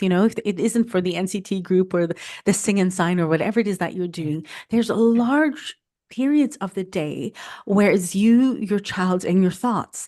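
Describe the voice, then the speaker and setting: Against a quiet background, a woman talks at a medium pitch with a dark, mellow tone and lively intonation. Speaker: food photographer and content creator. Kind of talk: podcast interview.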